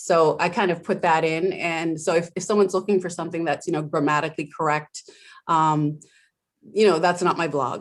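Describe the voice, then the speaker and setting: Moving at a fairly quick pace, a woman speaks at a fairly low pitch. Her intonation stays fairly even over a quiet background. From Moncton, New Brunswick, Canada (French Canadian). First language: French. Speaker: blogger. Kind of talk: interview. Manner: casual, halting with many fillers.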